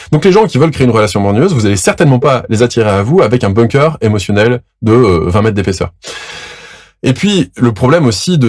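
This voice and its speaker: Speaking very fast, a man uses lively intonation at a medium pitch, his voice somewhat breathy. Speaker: relationship coach. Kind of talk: educational monologue.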